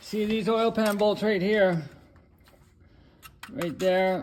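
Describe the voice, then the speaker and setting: The man speaks at a fairly slow pace. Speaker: auto mechanic. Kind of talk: repair tutorial. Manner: casual, hesitant with fillers.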